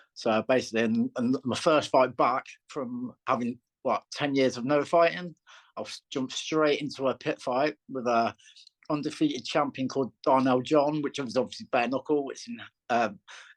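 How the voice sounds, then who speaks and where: A man with a Lancashire accent speaks at a medium pitch and a moderate pace. His intonation is fairly even, and the sound is dry and close with no echo. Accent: northern English (Lancashire). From northern England, Lancashire. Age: 40s. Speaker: bare knuckle fighter. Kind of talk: interview. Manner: halting, many repetitions and fillers.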